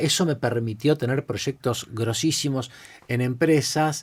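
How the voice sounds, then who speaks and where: A man with a Rioplatense accent speaks at a moderate pace in an animated tone, his pitch varying in an ordinary way. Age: 50s. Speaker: creativity and innovation expert. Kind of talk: podcast interview, casual storytelling. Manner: animated, many repetitions and fillers.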